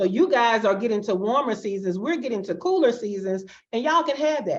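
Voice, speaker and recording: Fairly high pitch from a woman, with very wide pitch swings and a fairly quick pace. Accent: Alabama. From US South, Alabama. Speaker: fractional COO, digital nomad. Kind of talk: casual interview.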